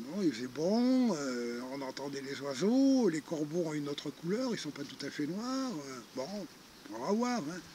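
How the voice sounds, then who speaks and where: Speaking at a very slow pace, a man moves through very wide pitch swings. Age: 60s. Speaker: retired charity founder. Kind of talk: interview storytelling. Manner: hesitant, many fillers.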